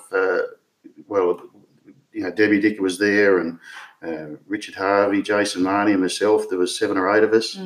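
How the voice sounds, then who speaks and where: Speaking at a fairly quick pace, a man comes across with a strong Australian accent. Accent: broad Australian. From rural Victoria, Australia. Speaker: retired stock agent and businessman. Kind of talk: interview. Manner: halting.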